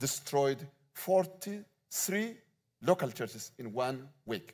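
A man speaks with an Ethiopian accent at medium pitch. His intonation is lively, and the recording is very clean with a silent background. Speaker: visiting pastor. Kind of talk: sermon. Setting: church.

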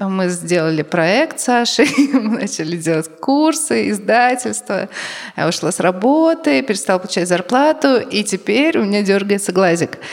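Pitch swings very widely at a moderate pace, with noticeable background noise behind the voice. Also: woman, medium pitch for a woman. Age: 30s. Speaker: podcast co-host. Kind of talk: live podcast talk. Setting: stage with audience.

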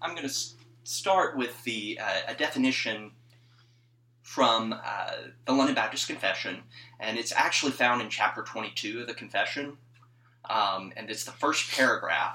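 A man with a Mississippi accent speaks at medium pitch and a moderate pace in a bright, sharp tone, with ordinary pitch variation and long, frequent pauses. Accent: Southern US (Mississippi). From northern Mississippi (US South). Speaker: church music PhD student. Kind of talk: casual chat.

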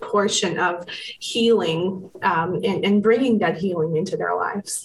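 A woman with an American accent at a medium pitch, fairly slow and fairly even in intonation, amid noticeable background noise. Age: 30s. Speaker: psychotherapist. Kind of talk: interview.

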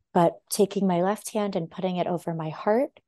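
The speaker has a Californian accent and a moderate pace, recorded with a dry, close sound, no echo and a quiet background. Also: woman. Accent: Californian American English. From US West Coast, Los Angeles. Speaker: intuitive dancer and holistic healer. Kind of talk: podcast interview conversation; reading aloud.

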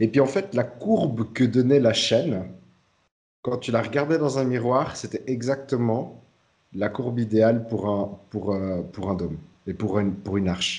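Speaking at a fairly slow pace, a man with a medium pitch and ordinary pitch variation sounds somewhat breathy and leaves long, frequent pauses. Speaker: podcast host. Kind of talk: casual chat.

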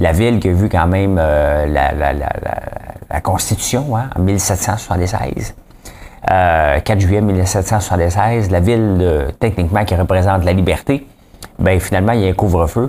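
Amid noticeable background noise, a man with a Quebec accent talks at a fairly slow pace in a very deep, low pitch, with ordinary pitch variation and very even loudness. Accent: Québécois French. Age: 40s. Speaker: podcast host, entrepreneur. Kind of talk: casual news commentary monologue. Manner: animated, informal.

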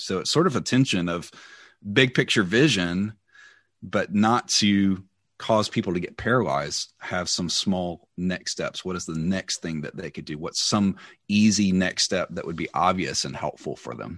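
A man speaks at a moderate pace in a very deep, low pitch with a Southern US accent, his pitch varying in an ordinary way. His loudness swings widely against a quiet background. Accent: Southern American. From US South, Mississippi near Memphis. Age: 40s. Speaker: church leader. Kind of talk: interview.

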